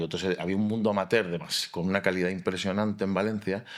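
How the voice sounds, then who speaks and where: A man talks with flat, monotone intonation. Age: 50s. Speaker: architect and fallas artist. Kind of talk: interview conversation.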